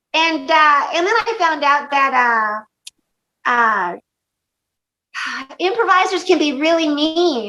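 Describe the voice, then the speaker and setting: A woman speaks in a raised, projected voice, high-pitched and bright with a sharp edge, her pitch swinging very widely. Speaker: stand-up comedian. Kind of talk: interview answer. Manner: casual, swearing, animated storytelling.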